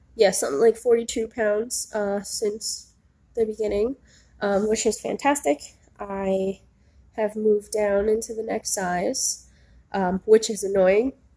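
A woman's nasal voice at medium pitch, dark and mellow in tone with a slightly husky edge, fairly even in intonation and fairly slow in pace.

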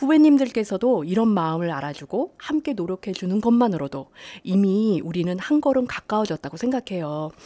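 A woman with a dark, mellow tone talks at a fairly quick pace, her pitch swinging very widely. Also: medium pitch for a woman. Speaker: civil servant, department head. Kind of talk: interview. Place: studio.

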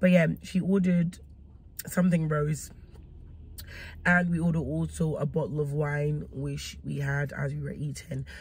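Woman at a fairly slow pace, dry sound with no echo, light background noise. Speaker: food vlogger. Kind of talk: casual vlog chat. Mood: relaxed, upbeat. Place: car. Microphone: phone near.

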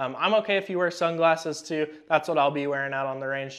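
The man talks at a fairly quick pace with fairly even intonation. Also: quiet background. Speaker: firearms class instructor. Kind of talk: tutorial. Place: shop.

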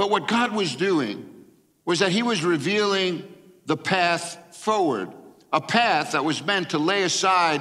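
A man's bright, sharp voice at a fairly slow pace, with lively intonation and a quiet background. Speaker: pastor. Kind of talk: sermon. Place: church. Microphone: headset.

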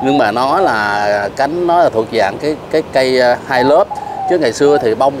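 A man speaks with a Southern Vietnamese accent. The sound is dry with no echo, though noticeable background noise is present. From Southern Vietnam, Ho Chi Minh City. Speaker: bonsai vlogger. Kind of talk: casual chat. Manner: hesitant with many fillers. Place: garden. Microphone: lapel.

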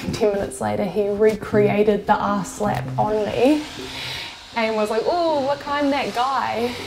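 With a New Zealand accent, a woman speaks at a moderate pace and medium pitch over noticeable background noise. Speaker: electrician. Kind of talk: interview answer. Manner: casual, candid.

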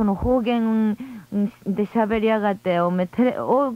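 In a dry recording with no echo, a woman with an ordinary speaking voice talks at a fairly slow pace, her fairly high pitch showing ordinary variation. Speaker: radio co-host. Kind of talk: late-night radio talk. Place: studio.

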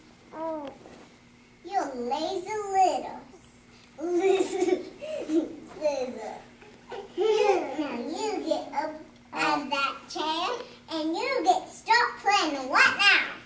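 A female-sounding put-on character voice speaks at an extremely high pitch, very slowly, with long, frequent pauses. There is audible echo. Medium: role play.

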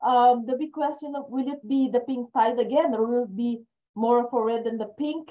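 A high-pitched woman speaks at a moderate pace with a dark, mellow tone. Her intonation stays fairly even against a quiet background. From Philippines. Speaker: policy advocate; speaker. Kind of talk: online panel discussion. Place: home room. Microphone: video call.

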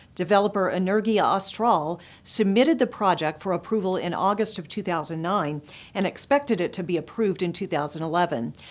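A woman at a moderate pace with lively intonation. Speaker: news presenter and publisher. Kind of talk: formal news reading, scripted headlines delivered in a steady, polished broadcast style. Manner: formal, measured and even-paced, crisp and neutral like a broadcast anchor; clear, businesslike, brisk transitions between stories. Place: studio. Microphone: lapel.

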